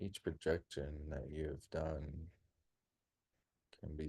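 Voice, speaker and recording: At a very slow pace, a man speaks in a very deep, low voice with a dark, mellow tone, somewhat breathy and monotone, flat in intonation. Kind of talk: guided meditation. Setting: group gathering in a church. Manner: calm, rhythmic.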